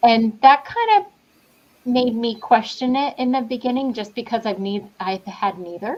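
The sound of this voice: A woman's fairly high voice with lively intonation. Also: fairly slow pace.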